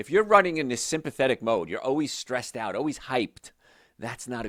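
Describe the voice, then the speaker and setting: At a fairly quick pace, a man speaks with lively intonation and a bright, sharp tone on a very clean recording with a silent background and a dry, close sound with no echo. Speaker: health show host, doctor. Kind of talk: radio-style health talk show. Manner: fast.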